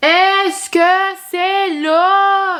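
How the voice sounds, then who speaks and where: A woman uses a put-on character voice at an extremely high pitch. Her intonation is monotone and flat. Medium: read story. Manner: eager, polite.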